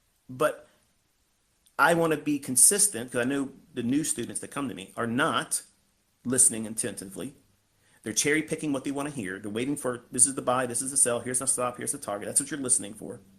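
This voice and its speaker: The man's pitch is medium and varies in an ordinary way. He speaks at a very fast pace. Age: older than 20s. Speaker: trading educator. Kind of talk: live audio space lecture. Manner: casual, profane.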